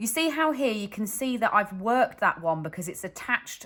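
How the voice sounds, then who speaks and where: A woman in a British accent speaks with very wide pitch swings. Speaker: crochet designer and teacher. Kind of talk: tutorial. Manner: slow, step-by-step.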